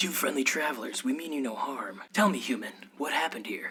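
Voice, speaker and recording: A put-on character voice at middle pitch and a fairly quick pace. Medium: audio drama. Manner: formal.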